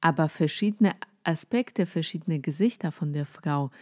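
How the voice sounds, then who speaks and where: A woman's relaxed, very deep, low voice with a Polish accent, in a very clean recording against a silent background. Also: dry, close sound with no echo. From Poland. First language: Polish (speaking German). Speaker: podcast host, psychotherapist. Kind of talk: casual solo talk on spirituality. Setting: at home, cosy. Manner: relaxed, with frequent filler sounds.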